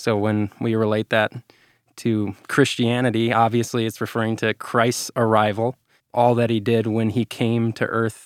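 A man with an American accent speaks at a moderate pace and medium pitch, his intonation monotone and flat. The recording is very clean with a silent background, and the sound is dry and close with no echo. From Minnesota. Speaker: youth ministry staff. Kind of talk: casual interview about faith. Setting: studio.

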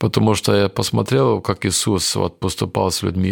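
A man with a fairly low pitch and vocal fry talks at a fairly slow pace, the sound dry and close with no echo. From Kyrgyzstan (Soviet era), village; raised in Germany from age 9. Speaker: missionary. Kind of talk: testimony. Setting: studio. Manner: halting.

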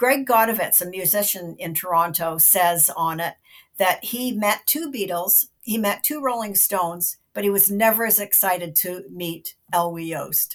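A woman with a Canadian accent speaks at a medium pitch and a moderate pace with lively intonation, in a normal speaking voice. The recording is very clean, with a silent background. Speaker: film critic. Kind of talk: casual chat.

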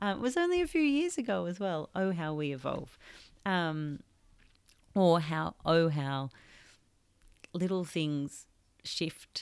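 Speaking at a very slow pace with long, frequent pauses, a woman uses a fairly low pitch and lively intonation in a very clean recording with a silent background. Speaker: podcast host and author. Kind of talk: reflective solo podcast monologue; reading aloud from own book. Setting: makeshift home recording studio.

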